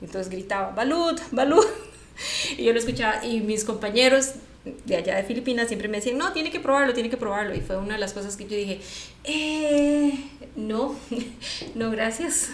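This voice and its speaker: With a Costa Rican accent, a woman of fairly high pitch uses lively intonation at a moderate pace, with long, frequent pauses, audible room echo and noticeable background noise. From Costa Rica, San José. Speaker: podcast co-host. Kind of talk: casual chat.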